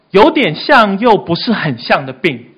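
A man at a fairly slow pace, with very wide pitch swings. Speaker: youth pastor. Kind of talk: sermon. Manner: animated.

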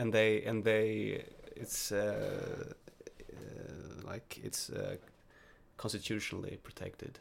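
At a very slow pace, a man speaks with big swings in loudness. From Sweden. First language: Swedish. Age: 20s. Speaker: university student. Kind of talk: casual chat. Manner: halting.

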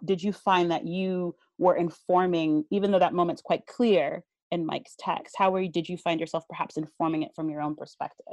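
A woman with a plain, everyday voice speaks at a medium pitch and a fairly quick pace, with ordinary pitch variation. The sound is dry and close with no echo, against a quiet background. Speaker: theater education manager hosting panel. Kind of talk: panel discussion. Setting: video call.

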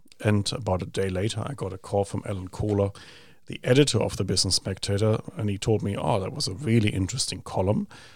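On a very clean recording with a silent background, a man with a German accent speaks very fast at a fairly low pitch, somewhat breathy, with ordinary pitch variation. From Germany. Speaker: think tank executive director. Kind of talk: casual interview chat.

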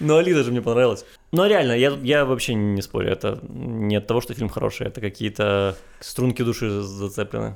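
Using a normal speaking voice, a man talks fairly quickly with ordinary pitch variation. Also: medium pitch for a man. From Ukraine. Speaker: podcast co-host. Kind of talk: casual chat.

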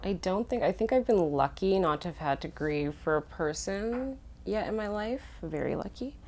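Speaking at a moderate pace, a woman with a Canadian accent and a plain, everyday voice uses a fairly low pitch. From Winnipeg, Canada. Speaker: young woman discussing loss with a friend. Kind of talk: casual chat.

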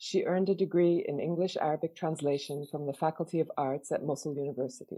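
A woman with a normal speaking voice speaks at a fairly low pitch and moderate pace, her pitch varying in an ordinary way. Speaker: interviewer. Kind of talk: interview.

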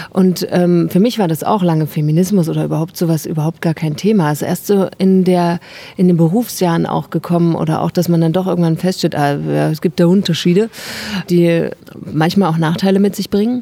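Talking at a fairly quick pace, a woman with an ordinary speaking voice keeps a fairly low pitch and fairly even intonation. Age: 30s. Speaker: actress and artist. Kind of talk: interview. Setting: outdoors, market square.

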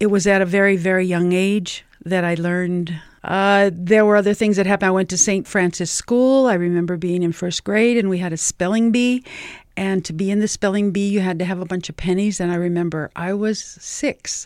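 A woman with a New Mexico accent speaks at a fairly quick pace and a medium pitch, with fairly even intonation. The recording is very clean, with a silent background. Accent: New Mexican English. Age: 70s. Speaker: community organizer. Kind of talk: interview. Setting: studio.

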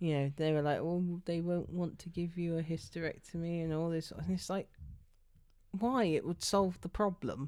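A woman speaks at a moderate pace with a dark, mellow tone. Her pitch is fairly low, and her intonation stays fairly even. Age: 30s. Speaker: podcast co-host. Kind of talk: casual chat.

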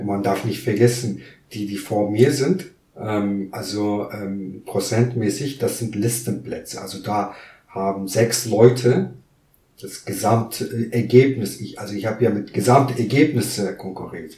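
With audible room echo, a man speaks at a fairly slow pace in a fairly low, dark, mellow, somewhat breathy voice, showing ordinary pitch variation and big swings in loudness. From Kurdistan. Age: 30s. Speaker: migrant council member, business lawyer. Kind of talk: interview.

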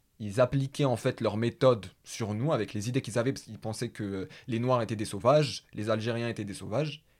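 A man speaks at a moderate pace and medium pitch with ordinary pitch variation, in a plain, everyday voice, on a very clean recording with a silent background. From Paris, France. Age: 20s. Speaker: podcast host. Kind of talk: casual conversation.

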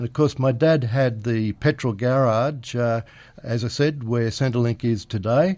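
Over a very clean recording with a silent background, a man talks at a fairly slow pace with ordinary pitch variation. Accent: Australian. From Australia, Penrith NSW. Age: 70s. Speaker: retired local businessman. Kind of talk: interview. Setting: radio studio.

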